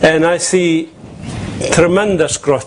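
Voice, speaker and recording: A man talks fairly slowly while noticeable noise runs in the background. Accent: Arabic. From Palestine. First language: Arabic. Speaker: activist and author. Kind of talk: conference panel talk. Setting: conference with audience and translator. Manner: passionate.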